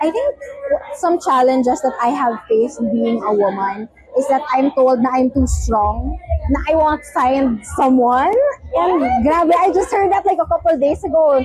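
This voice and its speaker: Against noticeable background noise, a woman with a high pitch speaks with lively intonation and very even loudness. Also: moderate pace. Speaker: honoree. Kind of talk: event interview. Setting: recognition dinner event.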